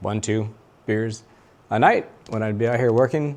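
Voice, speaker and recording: The speaker is a man. His pitch is fairly low. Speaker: motorcycle mechanic video host. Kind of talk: tutorial. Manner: fast; stumbling at times.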